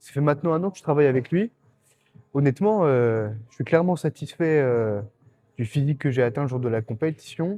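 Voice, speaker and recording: A man speaks fairly quickly with a dark, mellow tone and ordinary pitch variation. The sound is dry and close, with no echo. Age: 20s. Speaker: bodybuilding competitor and vlogger. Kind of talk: casual gym vlog. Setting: gym. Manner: casual, hesitant with fillers.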